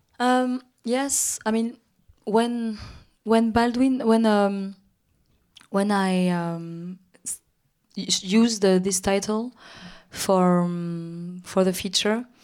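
Speaking very slowly in a French accent, the voice has ordinary pitch variation and long, frequent pauses. The recording is very clean, against a silent background. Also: woman, medium pitch for a woman. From Paris, France. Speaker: film director. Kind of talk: on-stage interview conversation. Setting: stage with audience. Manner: halting, hesitant, repeats words.

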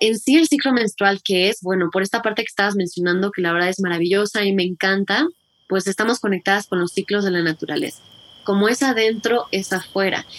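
With a dry, close sound and no echo, a woman talks at a fairly quick pace and medium pitch with ordinary pitch variation, an unremarkable speaking voice. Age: 30s. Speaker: menstrual health educator. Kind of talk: interview.

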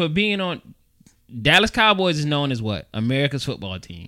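This man's voice is raised and projected, bright and sharp in tone. His pitch swings very widely. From New York. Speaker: podcast co-host. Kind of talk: casual chat.

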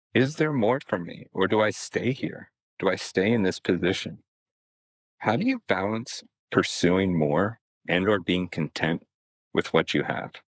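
In a dry, close sound with no echo, a man with a very deep, low pitch speaks at a fairly slow pace with long, frequent pauses. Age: 30s. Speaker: high school teacher, listener. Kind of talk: recorded listener question.

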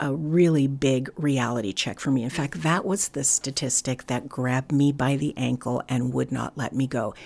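Over a silent background in a very clean recording, a woman with an American accent speaks at a moderate pace, her very deep, low pitch showing ordinary variation. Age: 60s. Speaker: foster care advocate. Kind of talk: interview. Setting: on location.

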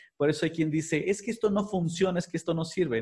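A man with a Mexican accent and a dark, mellow, somewhat breathy voice, ordinary in pitch variation, against a quiet background. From Mexico, Puebla. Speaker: body language expert. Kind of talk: interview.

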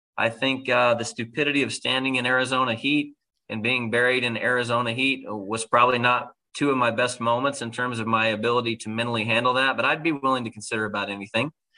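A man with an American accent, medium pitch and a very fast pace. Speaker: pro sports team executive. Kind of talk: interview podcast.

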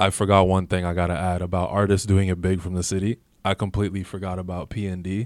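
In a Toronto accent, a man with a very deep, low voice speaks at a very fast pace in a monotone, flat way, on a very clean recording with a silent background. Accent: Toronto-area Canadian English. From Canada, Mississauga, Ontario. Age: 30s. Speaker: rapper. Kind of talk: casual chat. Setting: studio.

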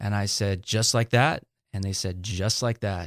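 Recorded very cleanly against a silent background, with a dry, close sound and no echo, a man with an American accent and an ordinary speaking voice talks at a fairly low pitch with fairly even intonation. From Salinas, California, US. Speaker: pastor. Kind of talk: interview testimony.

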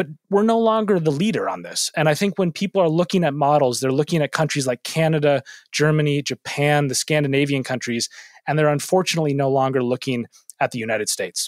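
An American accent delivered at a very fast pace with lively intonation, in a dry, close sound with no echo. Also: man, fairly high pitch for a man. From US Midwest. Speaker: debater and political scientist. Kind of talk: moderated debate.

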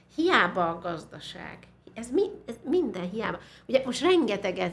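With an animated tone and lively intonation, a somewhat breathy woman speaks at a fairly slow pace. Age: 60s. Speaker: musicologist and university teacher. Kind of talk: interview conversation.

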